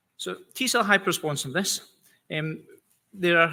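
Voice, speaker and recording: In a Scottish accent, a man talks at a fairly quick pace with a bright, sharp tone and ordinary pitch variation. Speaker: immunology scientist. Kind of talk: conference presentation. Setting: conference stage with audience. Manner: hesitant, many fillers.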